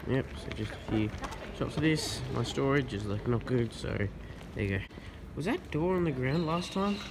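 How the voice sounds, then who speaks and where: A man is talking at a moderate speed. Background noise is noticeable throughout. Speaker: urban explorer vlogger. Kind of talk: casual vlog chat. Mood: surprised, curious. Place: factory. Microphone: phone near.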